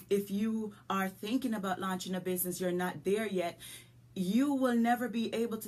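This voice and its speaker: A woman speaks with a Jamaican accent at medium pitch. Her pace is moderate. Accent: Jamaican, lasting. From rural Jamaica. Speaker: business coach and podcast host. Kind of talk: motivational podcast talk. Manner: animated.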